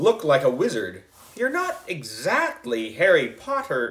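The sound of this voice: An unforced reading voice is heard in this clip.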